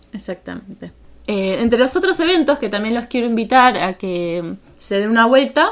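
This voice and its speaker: Using an unremarkable speaking voice, a woman talks at a moderate pace with fairly high pitch and lively intonation. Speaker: co-host. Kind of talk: podcast intro and chat.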